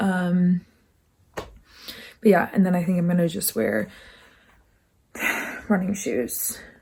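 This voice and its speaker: A woman speaks at a fairly low pitch, with ordinary pitch variation and a somewhat breathy, dark, mellow tone. Her pace is very slow, broken by long, frequent pauses. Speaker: college student. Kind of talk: casual vlog talk to camera.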